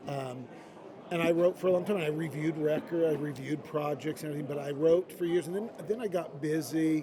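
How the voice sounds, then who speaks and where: A man speaks at a fairly quick pace and a fairly high pitch. His intonation is fairly even, with noticeable background noise behind him. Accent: American. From Idaho, US. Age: 60s. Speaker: music industry executive. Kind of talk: interview. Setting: live at a convention.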